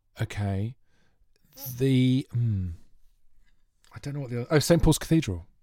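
A man with a medium-pitched voice speaks at a moderate pace with lively intonation, big swings in loudness, and long, frequent pauses. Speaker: quiz contestant. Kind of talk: quiz show banter. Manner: calm.

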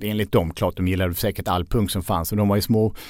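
The man's voice has a dark, mellow tone. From southern Sweden (Skåne, Lund). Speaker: author and journalist. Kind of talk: casual chat.

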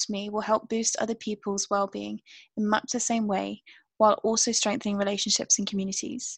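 A somewhat breathy voice in a British accent, at a fairly quick pace and in a flat monotone, with a very clean, silent background and a dry, close sound with no echo. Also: woman. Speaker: podcast co-host. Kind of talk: casual chat.

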